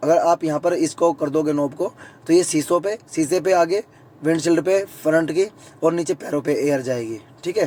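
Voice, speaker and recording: At a moderate pace, a man talks in a high pitch. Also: ordinary pitch variation. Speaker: YouTube vlogger. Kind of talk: tutorial. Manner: casual, conversational.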